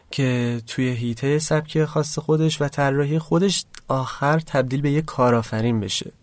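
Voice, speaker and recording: In a quiet setting, a man talks at a moderate speed. His pitch varies in an ordinary way. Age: 20s. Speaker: fashion designer. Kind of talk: interview. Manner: low energy.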